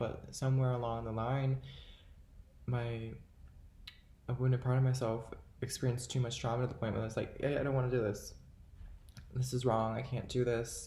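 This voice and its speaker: A man speaks in a somewhat breathy voice with a dark, mellow tone and monotone, flat intonation. Room echo is audible. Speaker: self-help vlogger. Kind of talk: motivational monologue to camera. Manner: casual, halting with fillers.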